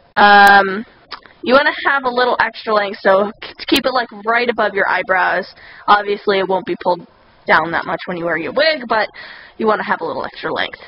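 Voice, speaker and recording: Against noticeable background noise, the speaker talks at a fairly quick pace with lively intonation. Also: woman, medium pitch for a woman. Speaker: cosplay tutorial maker. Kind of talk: tutorial.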